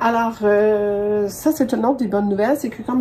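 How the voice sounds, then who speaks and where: A woman with a Quebec accent speaks at a fairly high pitch over noticeable background noise. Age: 60s. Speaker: sewing podcaster. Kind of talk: tutorial. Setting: home sewing studio. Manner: casual, hesitant with many fillers.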